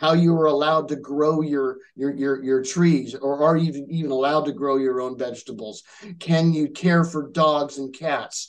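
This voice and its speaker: A fairly high-pitched man's voice with an American accent. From Southern California. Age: 50s. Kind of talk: interview answer.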